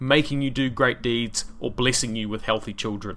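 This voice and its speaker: A man speaks in a New Zealand accent. His tone is bright and sharp. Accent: New Zealand accent, exaggerated by microphone. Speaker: history podcast host. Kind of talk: solo podcast narration. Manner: casual, conversational.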